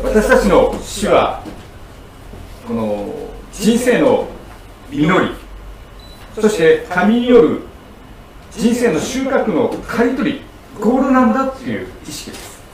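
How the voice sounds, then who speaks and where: Amid noticeable background noise and audible room echo, a man speaks at a very slow pace with long, frequent pauses and big swings in loudness. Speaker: pastor. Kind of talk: sermon. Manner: frequent fillers, hesitant.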